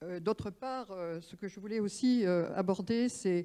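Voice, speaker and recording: On a very clean recording with a silent background, a woman with a dark, mellow tone speaks at a medium pitch and a fairly slow pace. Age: 70s. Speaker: retired doctor and patient representative. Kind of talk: round-table testimony.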